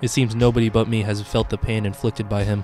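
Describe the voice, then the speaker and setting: Over background music, a man talks at a very fast pace in a dramatic tone with fairly even intonation. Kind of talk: commentary video talk to camera. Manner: humorous, mock-dramatic.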